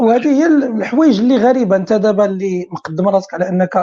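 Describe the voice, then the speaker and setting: A woman's plain, everyday voice at a medium pitch, with lively intonation and a moderate pace. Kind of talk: casual chat.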